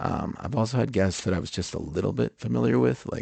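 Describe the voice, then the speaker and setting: A man's very deep, low voice with vocal fry and a dark, mellow tone moves through very wide pitch swings, the sound dry and close with no echo. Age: 40s. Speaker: podcast host. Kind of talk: podcast intro monologue. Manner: halting, many fillers.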